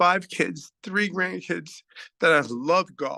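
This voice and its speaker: With an American accent, a man speaks very slowly in a bright, sharp tone with vocal fry and ordinary pitch variation, the sound dry and close with no echo. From Philadelphia, US Northeast. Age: 50s. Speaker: online business testimonial speaker. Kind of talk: testimony. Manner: halting.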